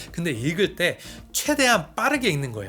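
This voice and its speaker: Music plays in the background. A man with a high voice speaks at a very fast pace. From Korea, part of childhood in US. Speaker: YouTuber, creator coach. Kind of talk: tutorial.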